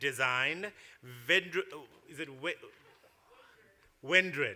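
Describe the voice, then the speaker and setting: At a fairly slow pace and with ordinary pitch variation, someone speaks in a South African accent over crowd noise in the background. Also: man. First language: Xhosa. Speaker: awards ceremony host. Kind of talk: awards ceremony presenting.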